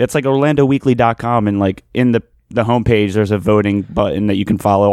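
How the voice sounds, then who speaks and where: A man talks with a Philadelphia accent. The recording is very clean, with a silent background. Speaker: podcast co-host. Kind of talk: casual chat.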